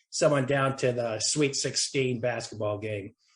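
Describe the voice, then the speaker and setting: A man talks at a fairly quick pace. His voice has a somewhat breathy quality. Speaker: former TV producer and comedy writer. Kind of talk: interview. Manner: halting.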